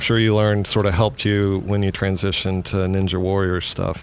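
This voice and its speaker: A fairly low-pitched man at a moderate pace, over noticeable background noise. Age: 40s. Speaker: school podcast host, staff member. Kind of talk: casual interview. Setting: at school.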